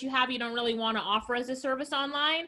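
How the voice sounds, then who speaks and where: Bright and sharp, a woman's high-pitched voice carries an animated tone. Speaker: entrepreneur. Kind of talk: online presentation.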